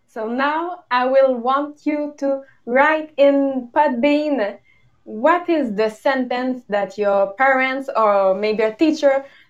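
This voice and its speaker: A woman with a high pitch speaks in a Quebec accent, using ordinary pitch variation against a quiet background. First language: French. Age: young. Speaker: podcast co-host. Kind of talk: casual chat. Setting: video call. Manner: giggly.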